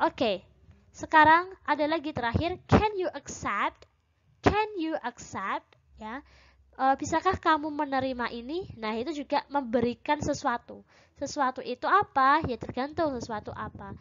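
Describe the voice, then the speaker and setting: A woman speaks in a high pitch with lively intonation. Her loudness swings a lot against a quiet background. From Indonesia. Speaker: English teacher. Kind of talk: lecture. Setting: recorded online class video. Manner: slow. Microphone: webcam.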